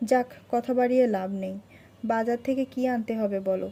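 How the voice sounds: A natural reading voice. Its pitch varies in an ordinary way.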